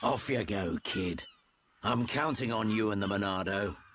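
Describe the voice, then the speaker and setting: In a put-on character voice, a man sounds raspy. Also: fairly low pitch for a man, moderate pace, ordinary pitch variation, very even loudness. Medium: video game. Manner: gruff, blunt, folksy.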